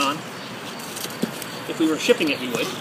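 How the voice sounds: A man talks at a fast pace. Clear background noise is present.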